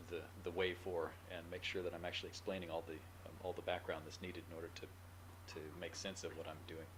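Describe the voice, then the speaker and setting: Mumbling very fast, a man with a very deep, low pitch speaks amid audible room echo. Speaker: university professor. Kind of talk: lecture.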